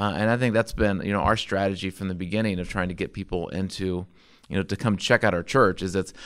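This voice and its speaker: On a very clean recording with a silent background, a man with an American accent speaks very fast at a very deep, low pitch with fairly even intonation. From US Midwest (Indiana, later Illinois area). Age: 30s. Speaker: pastor and church planter. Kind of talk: casual interview chat.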